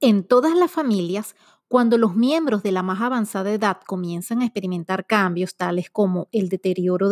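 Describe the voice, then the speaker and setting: An ordinary speaking voice moves at a fairly quick pace with ordinary pitch variation, recorded very cleanly over a silent background with a dry, close sound and no echo. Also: woman. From Venezuela. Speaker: podcast host. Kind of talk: scripted intro narration; interview.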